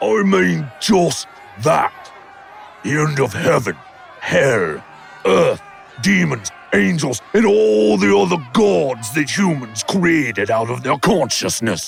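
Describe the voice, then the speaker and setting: A man shouts in a put-on character voice at a medium pitch, swinging his pitch very widely. He goes at a fairly slow pace while clear music plays in the background. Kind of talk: audio drama performance.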